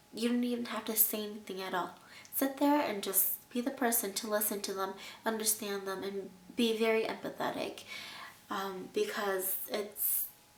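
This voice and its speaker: Fairly high in pitch, a woman talks at a moderate pace with fairly even intonation and audible room echo. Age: 20s. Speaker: abuse survivor vlogger. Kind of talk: personal testimony and advice.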